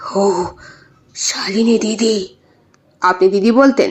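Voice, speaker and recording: The voice is a put-on character. It sounds raspy, with ordinary pitch variation. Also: woman. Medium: read story. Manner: halting, repeating words.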